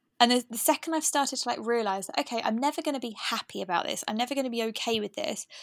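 Very fast and fairly high in pitch, a woman speaks on a very clean recording with a silent background and a dry, close sound with no echo. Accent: English. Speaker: podcast host. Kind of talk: casual chat.

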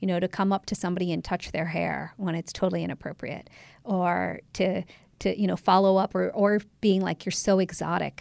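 In a General American accent, a woman speaks quite quickly at medium pitch with vocal fry and a monotone, flat intonation, the sound dry and close with no echo. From Ohio, US. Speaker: documentary filmmaker and photographer. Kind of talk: interview.

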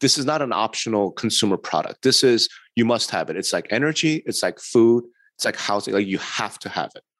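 A plain, everyday voice from a man with an American accent, medium pitch, ordinary pitch variation and a fairly quick pace, against a quiet background. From New York. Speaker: real estate industry consultant and podcast co-host. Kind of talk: podcast interview.

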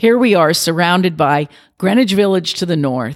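This woman has an unremarkable speaking voice with an American accent. Her pitch is fairly low and her intonation lively. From New York City. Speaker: business district president. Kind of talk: interview, professional conversation. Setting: office recording.

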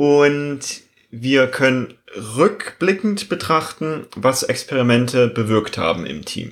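Very slow male speech at medium pitch, lively in intonation, with a slight East German accent. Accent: slight East German dialect slipping through. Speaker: agile coach and podcast co-host. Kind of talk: casual chat.

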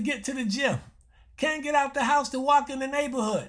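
A man speaks at an extremely high pitch with ordinary pitch variation. The background is quiet. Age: 70s. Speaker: health show host, doctor. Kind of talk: radio health talk monologue. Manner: repetitive, conversational.

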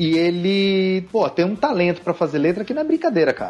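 This man has a high voice and talks at a fairly quick pace. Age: 40s. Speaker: tattoo artist. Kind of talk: casual chat.

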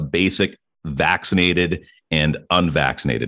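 Very clean recording of a man, silent background. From Ottawa, Canada. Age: 40s. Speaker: radio host turned podcaster. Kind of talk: casual chat. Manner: polished radio delivery.

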